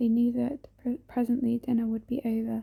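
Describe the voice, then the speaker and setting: Soft-spoken, a woman with a high pitch and a dark, mellow tone talks at a moderate pace. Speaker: ASMR creator. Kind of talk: ASMR soft spoken book reading.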